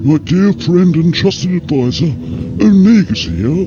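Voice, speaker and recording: A man's put-on character voice, fairly high in pitch and fairly slow, with loud music in the background. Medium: video game. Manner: pompous, smooth.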